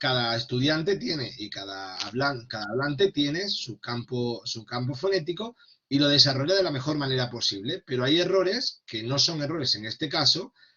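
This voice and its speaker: At a moderate pace and with hardly any pauses, a man talks in a fairly high pitch with lively intonation. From Extremadura, Spain. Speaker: Spanish language teacher trainer. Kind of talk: online workshop lecture. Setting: online video session. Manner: hesitant with fillers and repetitions.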